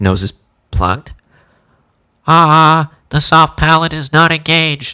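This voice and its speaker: A man puts on a character voice that is nasal and raspy, pitched fairly high. He goes at a fairly slow pace with long, frequent pauses, in a very clean recording with a silent background. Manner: speaking with soft palate relaxed, demo.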